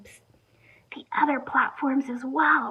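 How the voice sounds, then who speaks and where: A woman's high-pitched, upbeat voice with an American accent. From United States. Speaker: advertising strategist, presenter. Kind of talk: business presentation. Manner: casual, upbeat.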